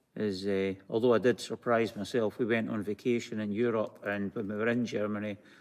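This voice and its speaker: A man's fairly low voice in a Scottish accent at a very fast pace. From Scotland. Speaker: craft video co-host. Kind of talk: live-stream craft tutorial. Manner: halting, many fillers.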